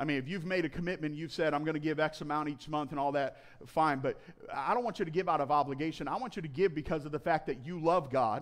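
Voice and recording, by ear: A man speaks fast with few pauses. His pitch is fairly high. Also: ordinary pitch variation.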